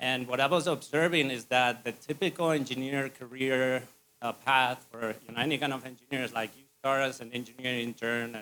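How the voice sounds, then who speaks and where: Speaking with a Spanish accent, a man has a medium pitch and fairly even intonation. His tone is bright and sharp. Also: moderate pace. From Spain. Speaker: civil engineering firm owner. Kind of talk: business presentation.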